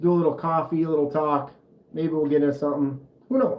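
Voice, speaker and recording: A man is speaking. He has a Minnesotan accent. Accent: Minnesota. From US Midwest, Minnesota. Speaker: knife channel host, livestreamer. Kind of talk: casual livestream chat.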